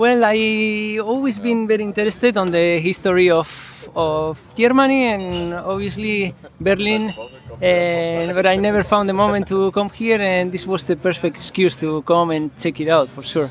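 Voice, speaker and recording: The pace is moderate, with ordinary pitch variation. Noticeable background noise can be heard. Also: man, high pitch for a man. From Basque Country, Spain. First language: Spanish or Basque. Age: 30s. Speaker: pro surfer and traveler. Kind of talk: interview. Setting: film festival.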